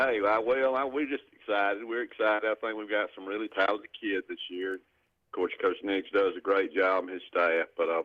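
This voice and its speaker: A man speaks at a moderate pace with a Southern US accent, his fairly low pitch showing ordinary variation and hardly any pauses. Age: 60s. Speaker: caller. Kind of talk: radio call-in. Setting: phone call.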